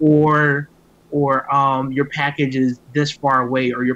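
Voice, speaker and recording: A man with an American accent speaks at a fairly high pitch with a bright, sharp tone. His intonation stays fairly even. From US South, Miami. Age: 20s. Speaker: tech startup founder. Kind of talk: interview.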